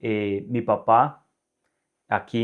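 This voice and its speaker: Fairly even intonation comes through against a quiet background. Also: man. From Colombia, northern Valle del Cauca. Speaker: religious presenter. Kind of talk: interview.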